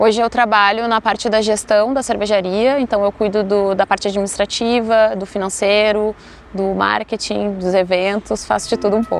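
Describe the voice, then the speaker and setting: The speaker keeps a moderate pace. The intonation stays monotone and flat. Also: woman, medium pitch for a woman. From Porto Alegre, southern Brazil. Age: 30s. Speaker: brewery manager. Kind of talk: documentary interview.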